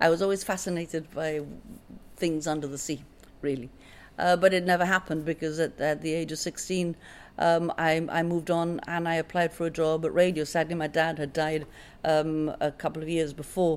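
Her delivery is fairly quick and monotone, flat in intonation, as a woman speaks in a fairly low pitch. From Gibraltar. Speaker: radio presenter and journalist. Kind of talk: casual interview. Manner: halting.

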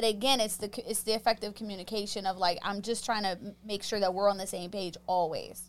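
A woman's medium-pitched voice at a fairly quick pace, fairly even in intonation, with music in the background. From Pittsburgh, Pennsylvania. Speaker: sex therapist. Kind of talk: casual chat.

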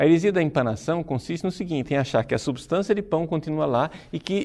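Using a normal speaking voice, a man talks at a fairly high pitch with lively intonation. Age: 40s. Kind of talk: religious teaching talk. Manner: formal.

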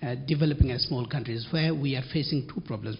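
The speaker is a man with a somewhat breathy voice. His pitch shows ordinary variation. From Bangladesh. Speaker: journalism fellow. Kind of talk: audience question.

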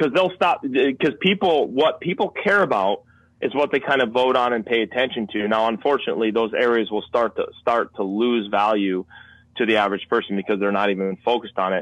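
A man with an unremarkable speaking voice, a medium pitch, lively intonation, very even loudness, and a fairly quick pace. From Connecticut. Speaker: wildlife filmmaker and hunter. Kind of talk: casual interview.

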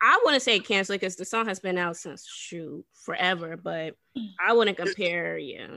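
With a normal speaking voice, a woman talks at a moderate pace with ordinary pitch variation and big swings in loudness. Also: medium pitch for a woman. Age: 20s. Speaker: podcast co-host. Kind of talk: casual chat.

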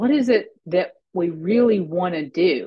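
Speaking very slowly with an American accent, a woman sounds somewhat breathy, her intonation lively. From US South, small-town Arkansas. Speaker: pharmacist and business consultant. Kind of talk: interview.

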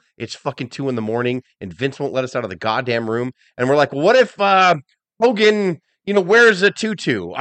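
A man's fairly high, animated voice with very wide pitch swings at a fairly quick pace. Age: 40s. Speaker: wrestling podcast co-host. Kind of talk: casual chat.

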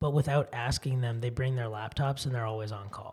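A somewhat breathy man with an American accent talks with ordinary pitch variation. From California, Silicon Valley. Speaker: tech startup founder. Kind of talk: interview.

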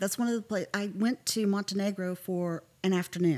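Speaking with an American accent, a woman has a normal speaking voice. She keeps a moderate pace at a medium pitch. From Texas, Fort Worth area. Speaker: travel agent. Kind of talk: casual chat.

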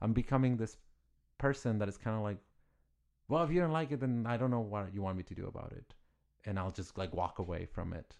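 A man's lively intonation in a Spanish accent. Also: quiet background. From Mexico, Ciudad Juarez. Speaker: artist. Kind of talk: interview.

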